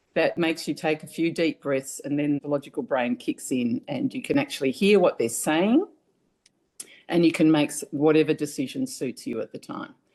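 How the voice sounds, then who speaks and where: The intonation is lively, with an Australian accent. The background is quiet. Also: woman. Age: 70s. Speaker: family caregiver. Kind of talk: interview testimony.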